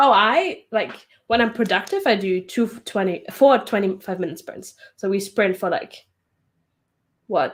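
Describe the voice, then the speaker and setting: A woman in a plain, everyday voice talks at a fairly slow pace and fairly high pitch, with ordinary pitch variation. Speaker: author. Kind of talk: casual chat.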